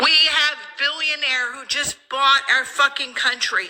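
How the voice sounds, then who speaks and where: A woman uses a raised, projected voice that is high in pitch, speaking at a fairly slow pace. Noticeable background noise can be heard. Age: 50s. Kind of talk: emotional rant to camera.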